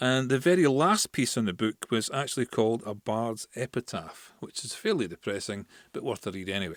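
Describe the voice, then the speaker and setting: A man talks at a fairly quick pace with hardly any pauses, in an ordinary speaking voice at medium pitch with lively intonation. The sound is dry and close with no echo, on a very clean recording with a silent background. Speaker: podcast host. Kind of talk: casual podcast talk about poetry and history.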